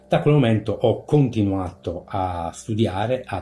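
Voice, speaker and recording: A man talks with ordinary pitch variation, and music can be heard behind him. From Sardinia, Italy (born in Canada, moved at ten). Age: 50s. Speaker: paranormal YouTuber. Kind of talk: interview. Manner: hesitant, many fillers.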